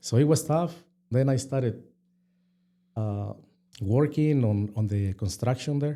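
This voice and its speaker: A man with a Mexican accent speaks at a medium pitch and a fairly slow pace, with long, frequent pauses. His tone is dark and mellow with ordinary pitch variation, and the recording is very clean with a silent background. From Mexico. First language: Spanish. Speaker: restaurant co-owner. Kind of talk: interview. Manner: halting.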